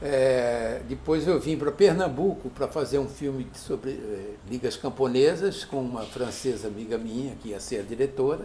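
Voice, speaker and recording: Against noticeable background noise, a man of medium pitch speaks at a moderate pace with ordinary pitch variation and hardly any pauses. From Brazil, São Paulo city. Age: 70s. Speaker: film director. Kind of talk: interview. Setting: filmed interview. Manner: halting, with frequent restarts.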